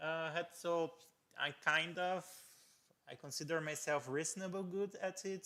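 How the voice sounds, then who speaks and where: At a fairly slow pace, a man with a non-native accent speaks in a fairly high pitch with a bright, sharp tone. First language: not English. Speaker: electronics youtuber doing PCB design live stream. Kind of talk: live stream tutorial, casual. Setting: live stream at home lab. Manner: halting, many fillers and repetitions.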